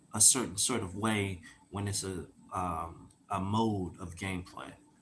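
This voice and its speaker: Amid audible room echo, a man talks very slowly in a somewhat breathy, fairly low voice. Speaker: gaming podcaster. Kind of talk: casual monologue podcast. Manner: halting, many fillers.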